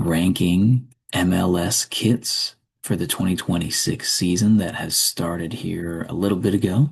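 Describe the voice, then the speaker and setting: At a moderate pace, a man speaks with a very deep, low pitch, a somewhat breathy quality and ordinary pitch variation. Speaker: ASMR creator. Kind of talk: ASMR commentary, low voice. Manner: low voice, not whispering.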